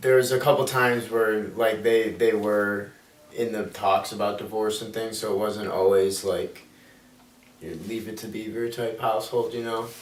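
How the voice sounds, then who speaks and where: A man with an American accent talks at a fairly slow pace and medium pitch with fairly even intonation, with audible room echo and noticeable background noise. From Illinois, Chicago area. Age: 20s. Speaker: college student. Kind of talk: interview.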